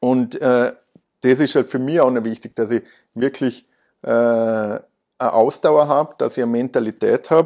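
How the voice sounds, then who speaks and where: The background is quiet and the sound is dry and close, with no echo. A man speaks at a medium pitch with fairly even intonation. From Austria, Vorarlberg. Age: 30s. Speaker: car dealership managing director. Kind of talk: interview. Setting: office.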